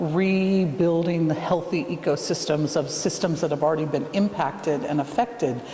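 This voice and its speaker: Moderate-paced speech with an American accent over noticeable background noise. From United States. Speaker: field education centre director. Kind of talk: interview.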